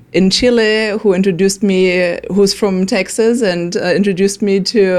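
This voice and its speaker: This woman has a German accent and a medium pitch. She speaks at a moderate pace with fairly even intonation. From Germany. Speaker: nonprofit worker. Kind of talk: interview.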